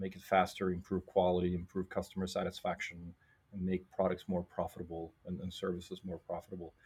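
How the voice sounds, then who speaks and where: A man speaks at a very fast pace, somewhat breathy, with a very deep, low pitch. His intonation is flat and monotone. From Norway. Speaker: think tank executive. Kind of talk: interview. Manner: halting with many fillers.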